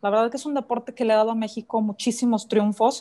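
Her voice a plain, everyday voice, a woman speaks at a fairly high pitch with fairly even intonation in a very clean recording with a silent background. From Mexico, Guanajuato. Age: 30s. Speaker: professional racquetball player. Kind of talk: interview.

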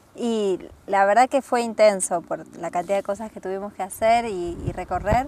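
A woman at medium pitch talks at a moderate pace with fairly even intonation and big swings in loudness over noticeable background noise. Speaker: traveler. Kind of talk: casual chat. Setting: outdoors on a windy hill.

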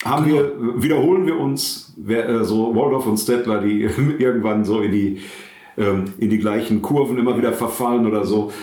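Against noticeable background noise and audible room echo, a man of medium pitch speaks at a moderate pace with very even loudness and ordinary pitch variation. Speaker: pastor and podcast co-host. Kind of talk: casual chat. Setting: his own study.

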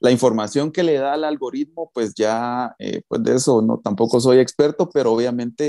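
With hardly any pauses, a man talks at a moderate pace in a medium-pitched voice with a dark, mellow tone and ordinary pitch variation, the sound dry and close with no echo. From Guatemala. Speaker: online marketer. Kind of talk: interview. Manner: halting.

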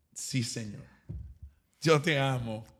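This man's voice carries vocal fry. His pitch varies in an ordinary way. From East Texas. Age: 30s. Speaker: pastor. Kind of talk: casual chat.

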